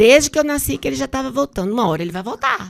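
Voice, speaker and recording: The voice swings very widely in pitch. The recording is very clean, with a silent background. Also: woman. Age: 60s. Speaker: bishop. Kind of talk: podcast interview.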